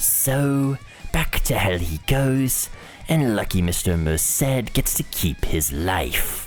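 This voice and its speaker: Clear music plays in the background behind a put-on character voice. The voice is low-pitched, very slow, and full of very wide pitch swings. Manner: smug, theatrical.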